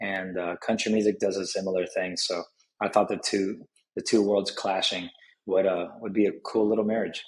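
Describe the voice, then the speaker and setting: A man with a Spanish accent talks at a fairly quick pace and fairly low pitch. His intonation stays fairly even. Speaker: country music artist. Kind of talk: interview.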